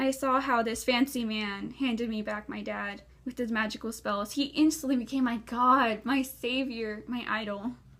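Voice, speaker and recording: A woman with an unremarkable speaking voice, fairly high in pitch, with fairly even intonation, a moderate pace and hardly any pauses. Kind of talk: slam poetry performance.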